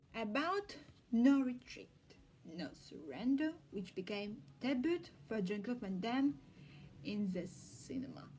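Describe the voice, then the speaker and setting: Against noticeable background noise, a woman with fairly high pitch speaks at a fairly slow pace, with very wide pitch swings and long, frequent pauses. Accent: Russian. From Russia. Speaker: film researcher. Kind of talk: casual talk to camera.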